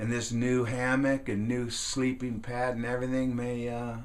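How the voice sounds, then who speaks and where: Amid audible room echo, a man speaks at a fairly slow pace. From California, US. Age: 60s. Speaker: woodworking and outdoors YouTuber. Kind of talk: casual vlog monologue. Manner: halting, many fillers and restarts.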